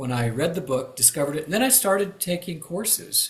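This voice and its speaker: A man with an American accent speaks in a somewhat breathy voice with lively intonation. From Kansas, US Midwest. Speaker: retired pastor and enneagram teacher. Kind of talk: interview. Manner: halting, many fillers.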